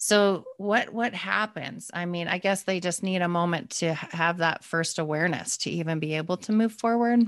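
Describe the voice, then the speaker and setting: A woman's a plain, everyday voice, fairly low in pitch, with ordinary pitch variation, a moderate pace and a quiet background. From Calgary, Canada. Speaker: podcast host. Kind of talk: interview, casual conversation.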